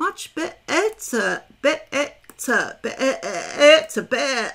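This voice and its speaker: A woman uses a put-on, squeaky character voice pitched high. She speaks at a very slow pace with very wide pitch swings. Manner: bleating like a sheep.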